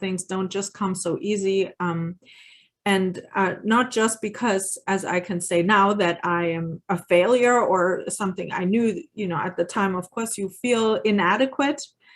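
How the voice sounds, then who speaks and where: At a fairly slow pace, a woman with a German accent speaks at medium pitch with ordinary pitch variation. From Germany. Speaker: parenting educator. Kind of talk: workshop presentation. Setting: video call webinar. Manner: halting, many fillers.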